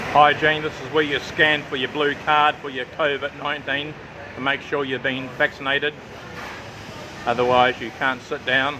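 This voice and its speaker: Noticeable background noise surrounds a man with a fairly high pitch. He speaks at a moderate pace in a monotone, flat intonation. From New Zealand and Australia. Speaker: travel vlogger. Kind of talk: casual vlog walkthrough. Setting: outdoor restaurant.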